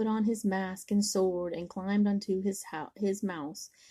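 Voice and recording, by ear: A natural voice reading aloud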